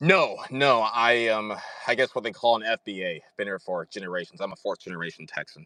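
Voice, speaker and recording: This is an ordinary speaking voice, moving along rather quickly. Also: man, medium pitch for a man, lively intonation, dry, close sound with no echo. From Texas. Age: young. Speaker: caller. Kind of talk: call-in question.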